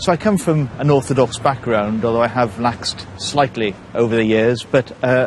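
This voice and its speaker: A man speaks with a South Welsh accent. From Port Talbot, South Wales. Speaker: stand-up comedian. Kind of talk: documentary interview talk.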